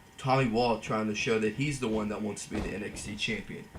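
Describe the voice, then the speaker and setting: Against noticeable background noise, a man talks at a fairly quick pace with monotone, flat intonation. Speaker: gaming commentator. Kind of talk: play-by-play game commentary. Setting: voiceover recorded while editing.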